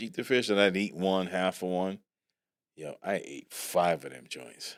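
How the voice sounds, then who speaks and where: An animated, playful tone at a fairly slow pace, with ordinary pitch variation and big swings in loudness. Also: man, very deep, low pitch for a man. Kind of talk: podcast conversation.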